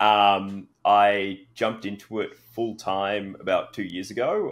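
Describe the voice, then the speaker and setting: A man talks with an Australian accent. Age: 30s. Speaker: fantasy author. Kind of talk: interview; reading aloud. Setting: podcast.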